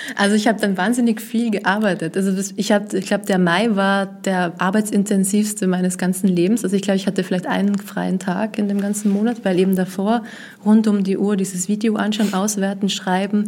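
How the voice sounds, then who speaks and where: Somewhat breathy and monotone, a woman speaks at a fairly quick pace with flat intonation and very even loudness. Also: medium pitch for a woman. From Vienna, Austria. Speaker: journalist. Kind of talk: interview.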